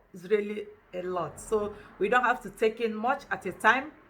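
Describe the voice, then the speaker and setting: A woman with a Nigerian accent speaks at a moderate pace in a bright, sharp, animated tone with ordinary pitch variation. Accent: Nigerian Igbo English. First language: Igbo. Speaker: language teacher. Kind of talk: tutorial.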